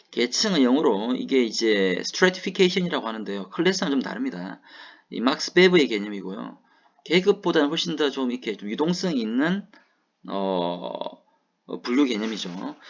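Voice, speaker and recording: Speaking at a medium pitch, the man lets his voice swing very widely up and down. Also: moderate pace. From South Gyeongsang, Hadong (Korea). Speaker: university lecturer. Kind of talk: lecture. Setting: online recorded class.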